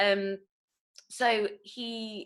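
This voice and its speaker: This woman has an East Midlands accent and a medium pitch. Her tone is bright and sharp. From Nottingham, England. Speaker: actor. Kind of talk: online workshop teaching. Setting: online video call.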